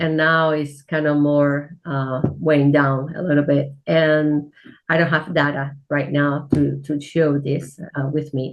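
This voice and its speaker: Speaking fairly slowly in a Spanish accent, a woman uses a very deep, low pitch with monotone, flat intonation. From Spain. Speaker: church minister. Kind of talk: interview. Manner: halting.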